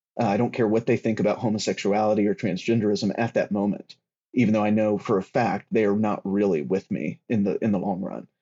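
At a very fast pace, a man speaks in a fairly low pitch with fairly even intonation. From US South. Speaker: writer on political theology. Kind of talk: casual discussion.

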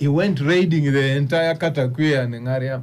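There is audible room echo as a man with a medium pitch speaks at a fairly quick pace with ordinary pitch variation. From Uganda. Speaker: lawyer. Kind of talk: radio panel discussion. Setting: studio.

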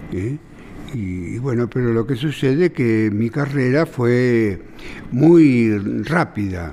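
Amid noticeable background noise, a man with a medium pitch speaks at a very slow pace with lively intonation. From Buenos Aires, Argentina. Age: 80s+. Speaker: billiards champion and teacher. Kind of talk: interview.

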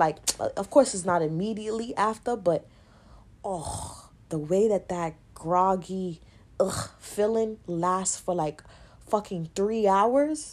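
Speaking very slowly, a woman uses a New York accent. Her voice sits at medium pitch with ordinary pitch variation. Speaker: podcast host. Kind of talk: casual monologue.

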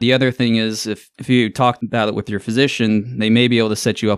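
A fairly low-pitched man with an American accent, talking at a fairly quick pace. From US South, Augusta, Georgia. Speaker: ENT surgeon. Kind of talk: interview. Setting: studio.

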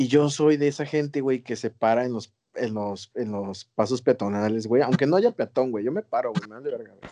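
A moderate pace and a dark, mellow tone, dry and close with no echo, over a quiet background. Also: man. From Mexico, outside Mexico City. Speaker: podcast co-host. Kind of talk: casual chat.

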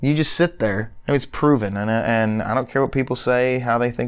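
With an American accent, a man in an unremarkable speaking voice talks at a moderate pace with fairly even intonation. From Phoenix, Arizona. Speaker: physical therapist. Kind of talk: casual chat.

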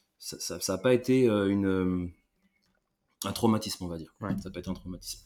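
A man with a dark, mellow tone and fairly low pitch talks at a fairly quick pace, with fairly even intonation, big swings in loudness and long, frequent pauses. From France, Limoges area. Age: 30s. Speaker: army veteran. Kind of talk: casual chat.

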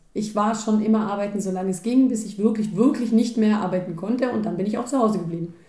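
At a very fast pace, a woman speaks with a fairly high pitch and fairly even intonation. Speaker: podcast co-host. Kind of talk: casual chat. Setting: home kitchen.

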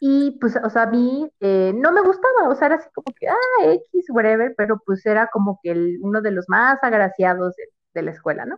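A woman talks at a moderate pace with hardly any pauses. Her fairly high voice swings very widely in pitch. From Mexico City. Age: 20s. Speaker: marketing professional. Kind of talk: casual interview. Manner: halting, many fillers.

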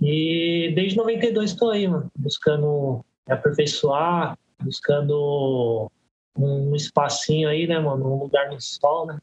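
A man's somewhat breathy voice, fairly high in pitch, with ordinary pitch variation and a very slow pace. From Brazil, Guarulhos (São Paulo). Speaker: graffiti artist and tattooist. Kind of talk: casual podcast interview.

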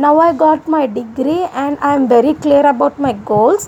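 A woman with an Indian accent, high in pitch with ordinary variation, at a fairly slow pace over noticeable background noise. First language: an Indian language other than Hindi. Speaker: YouTube vlogger. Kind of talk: personal monologue vlog.

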